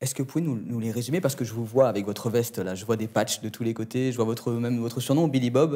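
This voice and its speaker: Against a quiet background, a man talks very fast with hardly any pauses. His tone is dark and mellow. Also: ordinary pitch variation. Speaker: interviewer. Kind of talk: interview questions. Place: studio.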